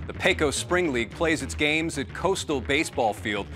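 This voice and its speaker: Background music accompanies speech that moves at a moderate pace. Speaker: TV news reporter. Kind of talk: TV news feature narration.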